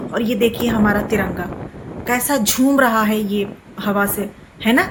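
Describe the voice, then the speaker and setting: With fairly even intonation, a woman talks in a fairly high pitch. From Rampur, Uttar Pradesh, India. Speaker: travel vlogger. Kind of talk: vlog narration. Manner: casual, conversational.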